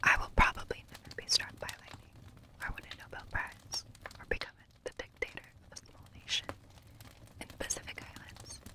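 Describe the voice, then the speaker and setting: Whispering in a breathy way, a woman talks at a fairly quick pace with long, frequent pauses and big swings in loudness over noticeable background noise. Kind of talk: novel reading. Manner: whispered.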